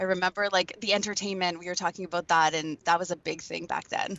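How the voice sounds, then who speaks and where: A woman's fairly low voice, very fast and flat in a monotone, with noticeable background noise. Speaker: voice over artist. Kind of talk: interview answer. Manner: casual, chatty.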